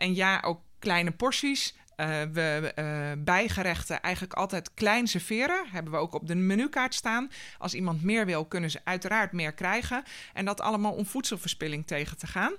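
A woman speaks at a moderate pace with a bright, sharp tone and a medium pitch. Her intonation is lively, and the recording is very clean with a silent background. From Netherlands, North Holland (Schellinghout near Hoorn). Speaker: sustainability programme manager at holiday park company. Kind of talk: interview. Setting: studio. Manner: hesitant, many fillers.

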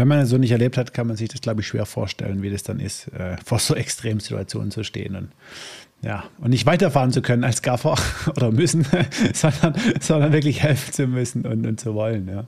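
A man speaks at a medium pitch and a moderate pace. There is vocal fry in his voice, and his pitch variation is ordinary. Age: 30s. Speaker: podcast host. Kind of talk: interview. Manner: casual, filler words.

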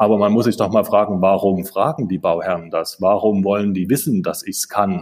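A man with a fairly low pitch speaks at a fairly quick pace, with hardly any pauses and ordinary pitch variation. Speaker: architect. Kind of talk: interview. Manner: halting, many filler sounds.

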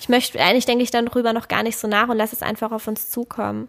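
Speaking at a very fast pace in a monotone, flat intonation, a woman with a fairly high pitch is heard on a very clean recording with a silent background. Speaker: podcast co-host, parent. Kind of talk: casual chat.

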